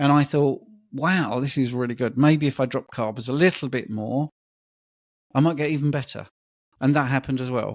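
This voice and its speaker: A man with a fairly high pitch talks at a moderate pace. His intonation is fairly even, broken by long, frequent pauses. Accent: British. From UK. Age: 50s. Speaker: personal trainer and diet coach. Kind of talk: podcast interview, personal story.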